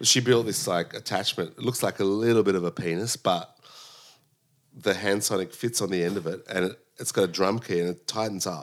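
On a very clean recording with a silent background, a man with an Australian accent talks at a fairly quick pace and fairly low pitch, his pitch varying in an ordinary way. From Sydney, Australia. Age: 40s. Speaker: drummer and music director. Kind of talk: casual interview. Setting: home.

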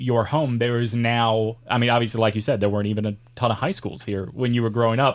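A man speaks at a medium pitch with a Southern US accent. The recording is very clean, with a silent background. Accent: Southern US, mild. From US South. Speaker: podcast host and former radio host. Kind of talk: casual interview chat. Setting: studio.

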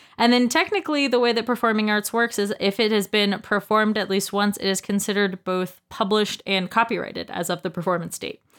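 A woman with an American accent talks at a very fast pace, her pitch fairly high. She hardly pauses at all. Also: ordinary pitch variation. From US South, North Carolina. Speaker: guest, former musical theater performer. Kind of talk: casual chat.

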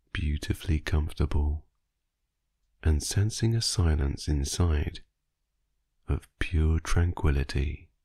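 Somewhat breathy and delivered at a very slow pace, the voice has a dark, mellow tone, a soothing, gentle tone and ordinary pitch variation. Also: man, long, frequent pauses, very even loudness. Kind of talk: guided sleep meditation. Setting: voice only, no music, recorded for listening in bed. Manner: slow, soft-spoken, soothing; gentle, hushed, drifting with long pauses.

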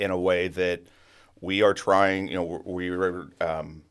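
A man with an American accent, very deep and low in pitch, at a fairly quick pace. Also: very clean recording, silent background. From Sonoma County, Northern California. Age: 30s. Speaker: housing developer. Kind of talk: interview. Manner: halting, many fillers.

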